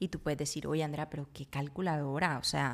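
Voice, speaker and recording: A woman talks at a fairly quick pace. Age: 30s. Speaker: podcast host. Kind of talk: casual monologue. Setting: home kitchen.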